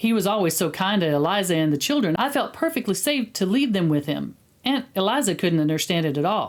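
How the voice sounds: The voice heard here is a natural reading voice.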